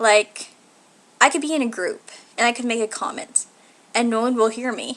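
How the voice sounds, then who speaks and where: A woman's fairly high voice at a moderate pace. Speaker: video blogger. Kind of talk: casual vlog monologue. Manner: nervous at the start of videos.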